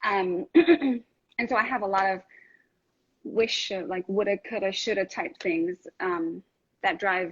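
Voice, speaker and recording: With a New York accent, a woman speaks at a medium pitch and a fairly slow pace, using lively intonation and long, frequent pauses, in a dry, close sound with no echo over a quiet background. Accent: New York American. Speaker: lactation consultant and nurse. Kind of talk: interview. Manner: direct.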